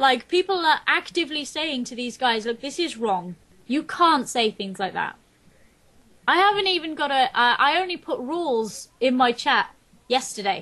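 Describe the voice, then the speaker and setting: A woman with a high pitch and a bright, sharp tone speaks in a raised, projected voice. Her pitch swings very widely at a moderate pace. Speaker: game streamer. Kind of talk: interview. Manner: loud.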